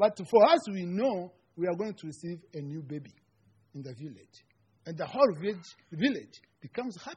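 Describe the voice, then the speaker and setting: The speaker has a Rwandan accent and a moderate pace. Intonation is lively, and loudness swings widely. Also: man, high pitch for a man. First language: Kinyarwanda. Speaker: seminary student giving a sermon. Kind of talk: sermon. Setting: church. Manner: halting, non-native English.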